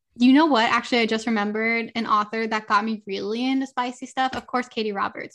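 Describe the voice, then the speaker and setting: Speaking at a fairly quick pace with a Californian accent, a woman with a fairly high pitch talks against a quiet background. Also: hardly any pauses. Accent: Californian American English. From Southern California, Los Angeles. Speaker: romance author. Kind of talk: casual interview chat.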